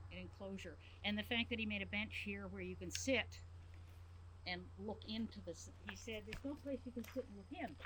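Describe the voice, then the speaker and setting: Noticeable noise fills the background. The woman's delivery is fairly quick. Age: 70s. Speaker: sculptor. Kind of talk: casual chat. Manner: halting.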